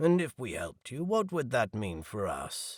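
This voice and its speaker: A man's growling, put-on character voice, fairly high in pitch, at a moderate pace with a dry, close sound and no echo. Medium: read story.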